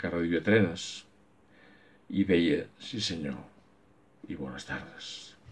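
Speaking at a very slow pace with long, frequent pauses, a man with a very deep, low voice shows big swings in loudness. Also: ordinary pitch variation. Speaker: book club member. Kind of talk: poem reading aloud. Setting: home, recorded during lockdown. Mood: calm, gentle. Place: home room. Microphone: webcam.

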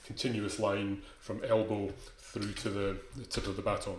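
With audible room echo and light background noise, a man speaks at a moderate pace. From Scotland. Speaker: conducting teacher. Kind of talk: lecture. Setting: video call. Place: home room.

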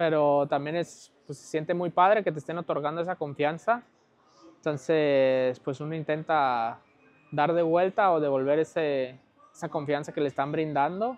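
At a moderate pace, a man with a plain, everyday voice speaks at a fairly high pitch with ordinary pitch variation. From Mexico, Guadalajara; Jalisco, Mexico. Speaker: professional footballer; interview guest. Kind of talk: casual interview. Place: home room. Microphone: lapel.

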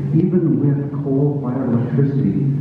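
The speech moves at a moderate pace amid strong room echo and light background noise. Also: man. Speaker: panelist. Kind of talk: panel discussion answer. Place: hall.

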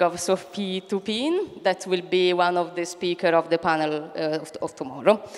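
At a moderate pace, the woman talks. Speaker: event moderator. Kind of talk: event introduction. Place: hall. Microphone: handheld.

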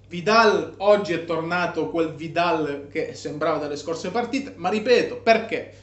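A man speaks in a high pitch with an animated tone and ordinary pitch variation. His pace is fairly slow, and audible room echo surrounds him. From Italy. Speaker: football vlogger. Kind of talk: angry rant about a match, fired-up fan commentary. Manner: animated, emphatic. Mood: disappointed, frustrated. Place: home room. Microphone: phone near.

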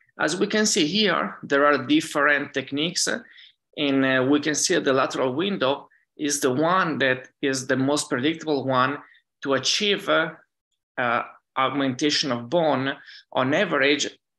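In an Italian accent, a man speaks at a moderate pace with a bright, sharp tone and very even loudness against a quiet background. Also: fairly high pitch for a man, ordinary pitch variation. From Italy, Lake Garda area; Italy. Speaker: dentist and professor; professor. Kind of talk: conference lecture. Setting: virtual conference. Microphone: webcam.

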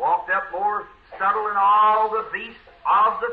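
A man is talking here. His delivery is fairly slow. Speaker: preacher. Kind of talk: sermon. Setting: church recording.

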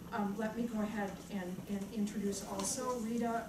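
Noticeable background noise behind a woman talking. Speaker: panel moderator. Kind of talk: speaker introductions at an academic panel. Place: meeting room. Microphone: camera far.

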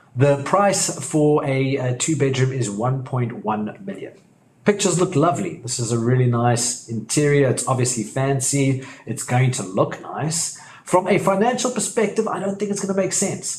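Here a man speaks at a moderate pace with lively intonation. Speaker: property investment educator. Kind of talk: tutorial.

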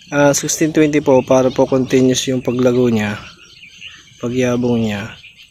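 Amid noticeable background noise, a man talks at a fairly slow pace and a medium pitch with fairly even intonation. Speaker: farmer and vlogger. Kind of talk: casual vlog narration.

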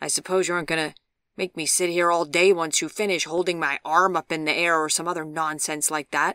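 A woman's put-on character voice, gruff and growling, at a fairly low pitch, with monotone, flat intonation and a fairly quick pace, in a very clean recording with a silent background. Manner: growling, gruff.

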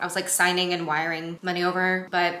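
A woman is speaking. Audible room echo is present. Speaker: vlogger. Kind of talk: casual vlog chat. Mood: reflective, a bit overwhelmed. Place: kitchen. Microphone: camera far.

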